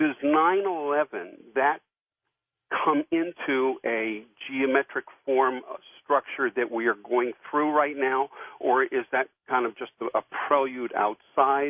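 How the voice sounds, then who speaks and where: Speaking at a fairly slow pace with long, frequent pauses, a man uses a fairly high pitch and fairly even intonation. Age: 60s. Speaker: caller. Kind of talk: call-in question. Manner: halting.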